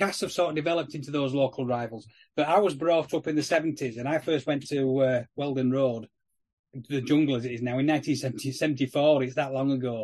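Against a quiet background, a man with a Yorkshire accent talks very fast, his fairly high pitch held in fairly even intonation. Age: 50s. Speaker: rugby league podcast co-host. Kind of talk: casual chat.

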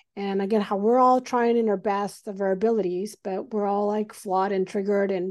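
At a moderate pace, a woman with a medium pitch and a dark, mellow tone speaks with fairly even intonation over a quiet background. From Mexico. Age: 40s. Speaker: urologist. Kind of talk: casual chat. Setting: video call.

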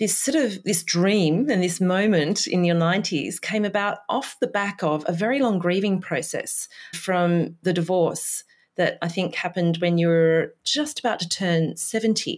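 A normal speaking voice holds very even loudness at a moderate pace in a very clean recording with a silent background. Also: woman. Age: 40s. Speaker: podcast host. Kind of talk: interview; scripted narration.

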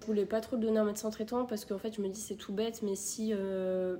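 Over noticeable background noise, a woman talks at a medium pitch and a fairly quick pace. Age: 20s. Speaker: nursing assistant and nursing student. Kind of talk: casual interview.

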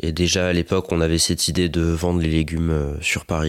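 A man talks at a fairly quick pace in a very deep, low pitch. His intonation is monotone and flat. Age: 20s. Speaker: organic market gardener. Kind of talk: casual interview. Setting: on his farm.

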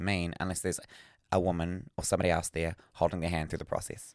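Very fast speech comes from a man with a New Zealand accent and a very deep, low pitch. The recording is very clean, with a silent background. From New Zealand, Northland. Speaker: podcast co-host. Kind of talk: casual chat. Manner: animated.

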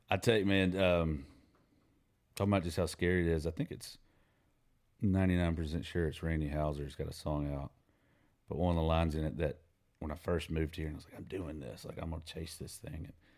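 Very fast yet full of long, frequent pauses, a man with a Southern US accent speaks with a very deep, low pitch, fairly even intonation and big swings in loudness. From US South, Mississippi (Brandon). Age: 40s. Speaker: songwriter. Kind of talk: casual chat. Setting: home studio.

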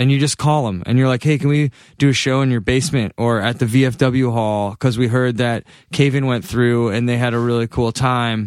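An ordinary speaking voice from a man with an American accent, medium in pitch, at a fairly quick pace with fairly even intonation, in a dry, close sound with no echo on a very clean recording with a silent background. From Massachusetts. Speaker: touring rock band musician. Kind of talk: casual chat.

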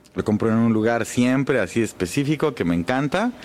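A man's plain, everyday voice with lively intonation at a moderate pace. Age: 40s. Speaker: jazz double bassist. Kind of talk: casual interview.

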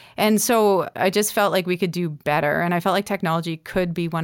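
A woman with a Canadian accent has an unremarkable speaking voice at a fairly low pitch with ordinary pitch variation. She talks at a fairly quick pace on a very clean recording with a silent background. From Northern Ontario, Canada (North Bay). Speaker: tech entrepreneur and former Olympian. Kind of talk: interview conversation.

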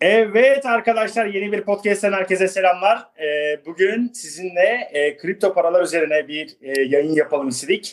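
A man talks at a high pitch with lively intonation. His pace is moderate. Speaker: podcast host. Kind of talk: casual chat. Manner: hesitant, many fillers.

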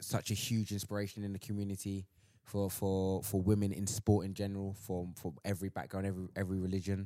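On a very clean recording with a silent background, a man with a London accent talks at a very fast pace in a fairly low pitch, his intonation monotone and flat. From Southeast London. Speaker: sports agency worker. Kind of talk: casual chat.

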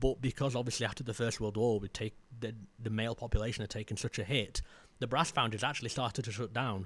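Someone with a South Yorkshire accent talks at a fairly quick pace with fairly even intonation in a very clean recording with a silent background. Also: man. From South Yorkshire, Maltby. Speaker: heritage filmmaker and local historian. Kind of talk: casual interview chat. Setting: studio room with fans running.

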